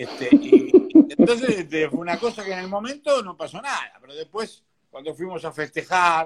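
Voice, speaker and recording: A man with a high-pitched voice that swings very widely up and down. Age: 60s. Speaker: businessman and boxing sponsor. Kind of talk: interview.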